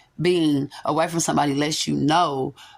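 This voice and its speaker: A woman's very deep, low voice with vocal fry and fairly even intonation. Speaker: tarot reader. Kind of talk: spiritual reading monologue. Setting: quiet room without background music. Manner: fast.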